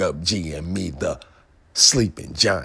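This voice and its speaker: The tone is animated. Pitch varies in an ordinary way. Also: man. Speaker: stock trading YouTuber. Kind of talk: casual vlog commentary.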